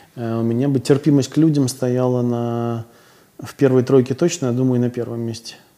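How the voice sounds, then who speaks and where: This man's tone is dark and mellow, and his intonation stays fairly even. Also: medium pitch for a man, moderate pace. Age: 40s. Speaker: psychotherapist. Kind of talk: interview conversation.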